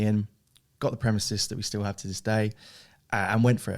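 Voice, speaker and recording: A man's fairly low voice in a southern English accent at a fairly quick pace, on a very clean recording with a silent background. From southern England (Hastings, East Sussex). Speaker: e-commerce director of a family business. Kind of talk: podcast interview. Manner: casual, with fillers and repetitions.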